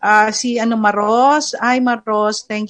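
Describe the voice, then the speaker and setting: A woman's very slow speech against a quiet background. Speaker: program host. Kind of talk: talk show with live viewer greetings.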